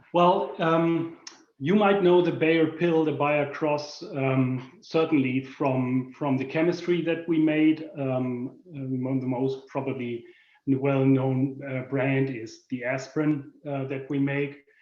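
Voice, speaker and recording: A man speaks very slowly with a German accent. His pitch is fairly high and his intonation fairly even. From Germany. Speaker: corporate product manager. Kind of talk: presentation. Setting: video call. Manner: halting, many fillers.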